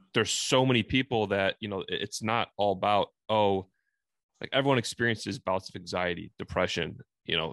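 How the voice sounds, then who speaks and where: A man with an American accent speaks in a plain, everyday voice at a fairly low pitch and fairly quick pace, with ordinary pitch variation. The sound is dry and close with no echo over a quiet background. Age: 30s. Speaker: podcast host. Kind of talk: casual interview chat.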